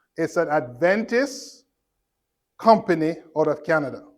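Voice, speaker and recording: A man at a fairly slow pace, high-pitched, with an animated tone and lively intonation. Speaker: health lecturer. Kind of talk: health lecture to church audience. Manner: animated, interactive with audience.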